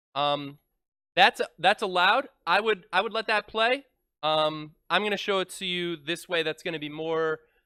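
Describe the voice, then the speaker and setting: Loud and animated, a man talks at a high pitch and moderate pace with lively intonation. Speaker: math teacher. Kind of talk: classroom lecture. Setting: classroom with students.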